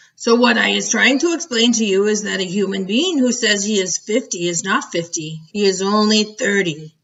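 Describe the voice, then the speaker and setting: A woman does a put-on character voice with a playful tone at medium pitch. She keeps a moderate pace with hardly any pauses. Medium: read story. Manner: ungrammatical, playful invented words.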